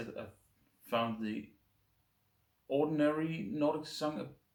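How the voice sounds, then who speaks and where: Here a man speaks with a Danish accent. His pitch is fairly high. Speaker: beer reviewer. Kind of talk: casual review monologue. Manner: halting, stumbling over words.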